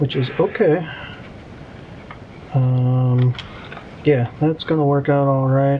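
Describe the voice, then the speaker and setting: Against noticeable background noise, a man with a fairly high pitch talks very slowly with long, frequent pauses, his intonation fairly even and his loudness very even. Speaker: RC hobby youtuber. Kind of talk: hobby tutorial. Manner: casual, hesitant with many ums; mumbling.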